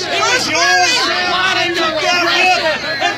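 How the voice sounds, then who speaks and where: A man with an extremely high pitch speaks in a raised, projected voice at a very slow pace. His intonation is monotone and flat, with crowd noise in the background. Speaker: street preacher. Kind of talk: street preaching sermon delivered to passersby. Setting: outdoors. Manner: loud, forceful, fervent.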